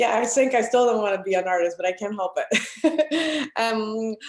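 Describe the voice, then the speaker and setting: A woman with a Spanish accent and a fairly high pitch, at a fairly slow pace, in a very clean recording with a silent background. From Venezuela, Caracas. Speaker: artist. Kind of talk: interview conversation.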